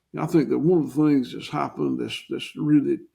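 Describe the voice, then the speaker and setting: A man talks with a Southern US accent. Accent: Southern US (Georgia). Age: 60s. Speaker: farmer. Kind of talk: interview.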